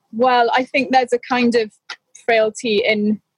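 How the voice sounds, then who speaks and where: Somewhat breathy and fairly high in pitch, a woman speaks at a moderate pace in a dry, close sound with no echo. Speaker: co-host, Shakespeare discussant. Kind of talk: casual chat about literature. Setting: balcony, remote call.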